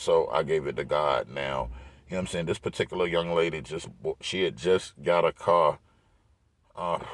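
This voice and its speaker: Very deep and low in pitch, a man with an American accent and vocal fry speaks with long, frequent pauses. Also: ordinary pitch variation, moderate pace. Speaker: vlogger. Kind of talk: casual vlog monologue. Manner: filler-heavy, repeats 'you know what I'm saying'; animated.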